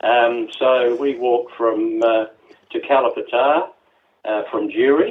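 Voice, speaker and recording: With an Australian accent, a man speaks at a fairly slow pace and medium pitch, with ordinary pitch variation. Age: 80s+. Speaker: trail volunteer. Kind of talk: interview. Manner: halting, many fillers.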